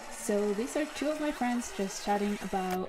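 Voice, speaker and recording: A woman at a medium pitch and moderate pace, with ordinary pitch variation and music in the background. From Norway. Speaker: game sound designer. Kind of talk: prepared presentation.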